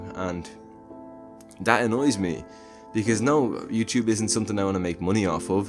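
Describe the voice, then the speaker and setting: Music plays in the background as a man talks at a moderate pace, leaving long, frequent pauses. His pitch is fairly low with ordinary variation. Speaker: movie reviewer. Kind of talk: casual talk to camera.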